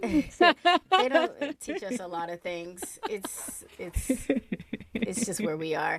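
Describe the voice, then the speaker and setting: Speaking very slowly, a woman with a fairly high pitch makes very wide pitch swings and big swings in loudness. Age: 40s. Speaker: podcast host. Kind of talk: casual chat.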